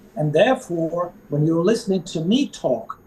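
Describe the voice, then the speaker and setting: A man speaks at a high pitch with a non-native accent. His intonation is lively. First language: not English. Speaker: resilience coach. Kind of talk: podcast interview. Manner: halting, many fillers.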